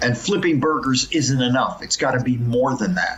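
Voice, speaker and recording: A medium-pitched man with an American accent, moderate pace and ordinary pitch variation, over noticeable background noise. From US West Coast, Los Angeles. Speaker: professor. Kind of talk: podcast interview.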